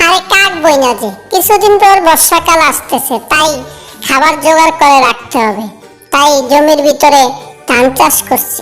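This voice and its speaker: Someone performs a cartoonish character voice at a moderate pace while faint music plays in the background. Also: female-sounding voice, high pitch for a woman. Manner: gentle, earnest.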